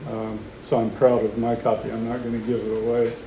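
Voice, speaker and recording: A man with an American accent talks at a moderate pace and medium pitch, with audible room echo and noticeable background noise. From Oklahoma. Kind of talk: public talk. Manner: hesitant, many fillers.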